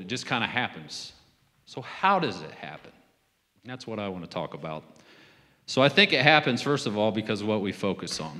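Over a quiet background, a man speaks at a moderate pace. His tone is bright and sharp, and his pitch swings very widely. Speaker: preacher. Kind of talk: sermon. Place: church. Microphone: handheld.

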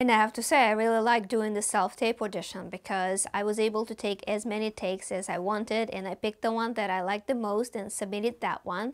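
A woman with a Russian accent at a very fast pace, with hardly any pauses. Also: fairly high pitch for a woman. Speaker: actor. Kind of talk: vlog monologue. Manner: animated. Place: home room.

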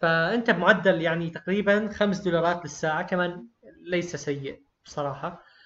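A man's high voice keeps to a fairly even intonation as he talks rather slowly. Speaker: online course teacher, freelancing. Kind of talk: tutorial. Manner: conversational, encouraging.

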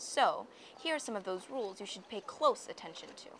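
Her voice is medium in pitch with a bright, sharp tone. The woman's intonation is lively. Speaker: student presenter. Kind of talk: scripted narration.

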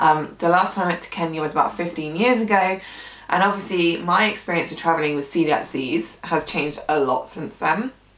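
A woman at a fairly low pitch and moderate pace, with audible room echo. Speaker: gluten-free food blogger. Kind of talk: casual vlog chat. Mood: warm, slightly emotional. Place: home room.

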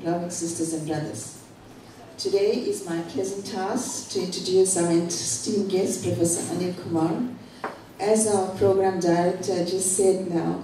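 Audible room echo and light background noise surround a woman's voice. She speaks at a moderate pace with fairly even intonation. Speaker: guest. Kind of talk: formal introduction speech. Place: hall.

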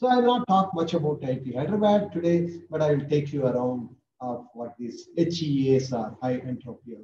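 A man with an Indian accent speaks at a moderate pace in a dark, mellow tone. His voice is somewhat breathy, and noticeable background noise is present. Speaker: professor. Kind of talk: lecture. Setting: video call. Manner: animated. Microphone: webcam.

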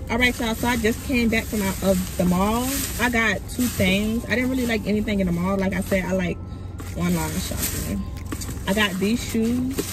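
Clear music plays behind a woman speaking at a moderate pace, her voice dry with no echo. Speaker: vlogger. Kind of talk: casual vlog chat. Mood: upbeat, playful. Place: car.

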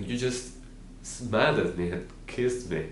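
Light background noise sits beneath a man speaking with audible room echo. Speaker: actor. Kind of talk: dramatic monologue, a grieving father pleading with his wife. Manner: tearful and pleading, voice breaking with grief; tender, wistful reminiscing that turns to quiet heartbreak. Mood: grieving, tearful, emotional. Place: home room.

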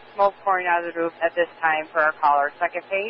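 Over light background noise, the voice moves at a moderate pace with a dry sound and no echo. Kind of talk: radio dispatch call. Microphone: two way radio.

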